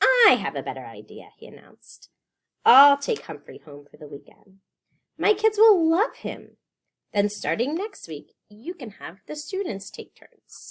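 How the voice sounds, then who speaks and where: Someone puts on a character voice, raised and projected, at a moderate pace. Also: female-sounding voice, high pitch for a woman. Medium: read story. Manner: warm, friendly.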